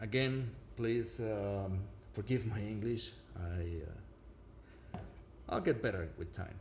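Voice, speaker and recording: A man with a non-native accent speaks at a fairly slow pace and a fairly low pitch. He makes long, frequent pauses, and room echo is audible. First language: not English. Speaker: product reviewer. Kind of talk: product review with demonstration. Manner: halting, many fillers.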